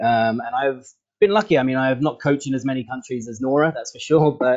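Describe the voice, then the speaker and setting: Speaking at a fairly quick pace with an English accent, a man keeps a medium pitch and ordinary pitch variation. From England. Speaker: football coach. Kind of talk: online training session introduction. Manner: hesitant, many fillers.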